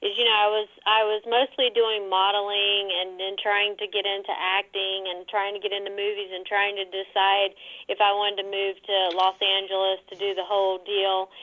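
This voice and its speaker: A woman speaks in a Southern US accent at a medium pitch and moderate pace. Her intonation is monotone and flat, with hardly any pauses. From North Carolina, US. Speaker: model. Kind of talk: interview.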